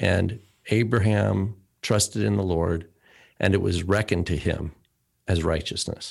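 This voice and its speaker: A man with a very deep, low pitch and vocal fry speaks at a fairly slow pace with long, frequent pauses. His loudness is very even, and the recording is very clean with a silent background. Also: ordinary pitch variation. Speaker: podcast co-host. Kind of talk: casual chat.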